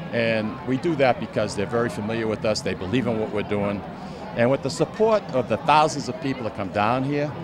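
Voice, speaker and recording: Through noticeable background noise, a man with a Boston accent talks at a medium pitch and a fairly quick pace. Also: ordinary pitch variation. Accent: Boston-area New England. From Lawrence, Massachusetts. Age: 60s. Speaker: festival organizer and radio co-host. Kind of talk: interview. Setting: outdoors at a street festival.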